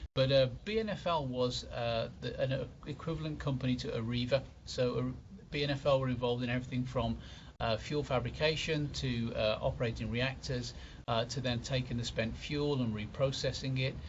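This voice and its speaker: In a room with audible echo, a man speaks at a fairly quick pace with a medium pitch, fairly even intonation and a somewhat breathy quality. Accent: British. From UK. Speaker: nuclear engineer lecturer. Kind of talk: lecture.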